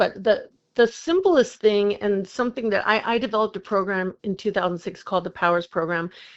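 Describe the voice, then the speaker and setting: Speaking at a moderate pace, a woman has a plain, everyday voice at a medium pitch. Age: 60s. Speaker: recording artist and meditation teacher. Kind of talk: podcast interview.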